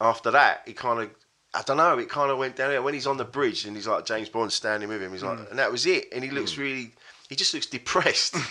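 In an English accent, a man rattles along at a very fast pace. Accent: English, self-described. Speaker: comedian. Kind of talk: casual chat.

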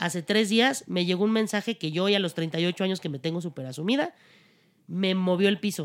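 In a plain, everyday voice, a woman speaks at a fairly quick pace with medium pitch and lively intonation on a very clean recording with a silent background. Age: 30s. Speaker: actress. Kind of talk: casual chat.

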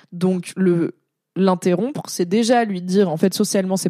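A woman with a dark, mellow tone speaks at a fairly quick pace and medium pitch with ordinary pitch variation on a very clean recording with a silent background. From France, Drôme (Valence). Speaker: content creator and streamer. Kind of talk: casual livestream chat. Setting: Twitch livestream.

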